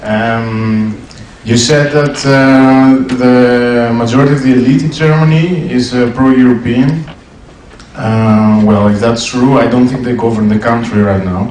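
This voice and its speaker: A man with a Greek accent speaks at a fairly slow pace and a medium pitch, with fairly even intonation, audible room echo and noticeable background noise. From Greece. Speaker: audience member at debate. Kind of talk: audience question at public debate. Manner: halting.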